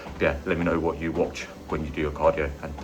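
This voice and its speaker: A man with a British accent speaks at a very fast pace in a very deep, low voice with monotone, flat intonation, over noticeable background noise and audible room echo. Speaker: fitness vlogger. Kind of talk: vlog. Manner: casual.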